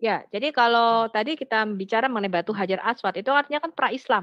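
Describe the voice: A woman's fairly high voice at a fast pace with ordinary pitch variation and a dry, close sound with no echo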